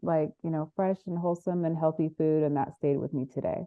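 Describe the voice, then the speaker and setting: An ordinary speaking voice from a woman with an American accent, fairly low in pitch, with ordinary pitch variation. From US West Coast, Monterey, California. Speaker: winemaker and entrepreneur. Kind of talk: interview.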